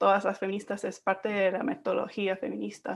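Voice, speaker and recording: Pitched at medium, a woman talks with an English accent. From England. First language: English (speaking Spanish). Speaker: academic researcher. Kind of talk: panel discussion answer.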